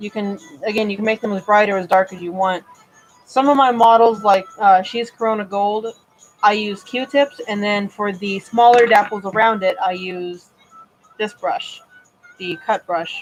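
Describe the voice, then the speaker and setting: Music plays in the background as a woman of medium pitch talks at a moderate pace with fairly even intonation and big swings in loudness. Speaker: model horse customizer. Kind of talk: live stream tutorial. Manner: casual, with fillers.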